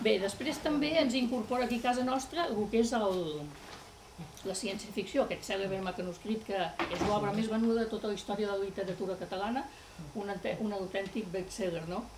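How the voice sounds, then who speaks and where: A woman at a fairly quick pace with ordinary pitch variation over light background noise. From Catalonia. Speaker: writer's daughter giving a talk; guest. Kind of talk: public talk. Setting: library event with audience. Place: hall.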